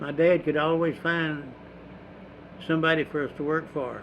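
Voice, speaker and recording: A man speaks in a fairly high pitch with monotone, flat intonation. Long, frequent pauses break up his speech. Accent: East Texas. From East Texas, Houston County. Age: 90s. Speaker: war veteran and farmer. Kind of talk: oral history interview. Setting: at his home.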